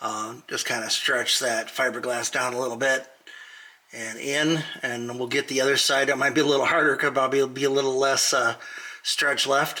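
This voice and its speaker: Flat, monotone delivery at a moderate pace, with noticeable background noise. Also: man, medium pitch for a man. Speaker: DIY car restoration youtuber. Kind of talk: tutorial. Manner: loud; casual, halting.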